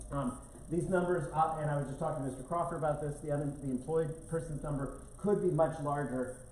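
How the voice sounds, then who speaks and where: A man at a very fast pace, fairly high in pitch, with fairly even intonation, audible room echo and noticeable background noise. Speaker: economic development presenter. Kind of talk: public presentation at board meeting. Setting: county board meeting room with audience. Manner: halting, many fillers.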